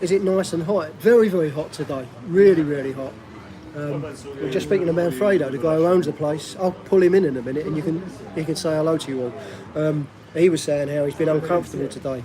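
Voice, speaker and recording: Amid noticeable background noise, a man talks at a very fast pace with a fairly high pitch and ordinary pitch variation. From South East London. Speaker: vlogger living abroad. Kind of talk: live stream chat. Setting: restaurant.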